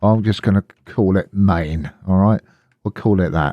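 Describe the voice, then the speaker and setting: A man speaks with a very deep, low pitch and an English accent, his pitch varying in an ordinary way. His tone is dark and mellow, and the sound is dry and close with no echo. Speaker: Linux tutorial youtuber. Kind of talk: screen-recorded tutorial.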